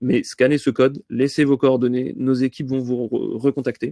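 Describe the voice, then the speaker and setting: This man talks at a medium pitch in a flat monotone, recorded dry and close with no echo. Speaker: AI consultant presenting webinar. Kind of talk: webinar presentation. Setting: online webinar. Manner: fast; hesitant, many fillers.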